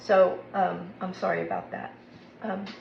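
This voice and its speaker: A woman speaks amid noticeable background noise and audible room echo. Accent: Southern US. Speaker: cooking video host. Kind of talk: cooking tutorial. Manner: casual, chatty.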